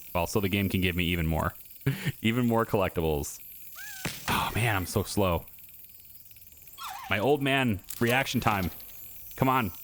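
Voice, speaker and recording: A man speaks at a moderate pace in a fairly low voice, with ordinary pitch variation and very even loudness. Long, frequent pauses break up his speech, and background noise is noticeable. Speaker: gaming YouTuber. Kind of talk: gameplay commentary. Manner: halting, stuttering when focused; casual, many fillers.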